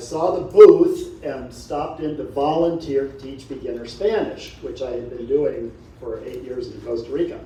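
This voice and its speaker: Over noticeable background noise and audible room echo, a man talks at a moderate pace with hardly any pauses and big swings in loudness. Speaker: adult education director. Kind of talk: panel talk.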